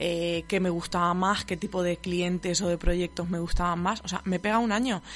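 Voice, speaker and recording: Speaking with a southern Spanish accent, a woman keeps her intonation monotone and flat. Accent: regional southern Spanish. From southern Spain, between Murcia and Castilla-La Mancha. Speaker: marketing podcast host. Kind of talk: casual solo monologue. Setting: radio studio. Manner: shaky voice.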